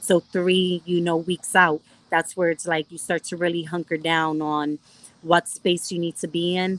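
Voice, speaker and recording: In a dry, close recording with no echo, a woman with a fairly low pitch speaks at a moderate pace in a slight New York accent. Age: 30s. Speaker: professional boxer and MMA fighter. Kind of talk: casual interview chat.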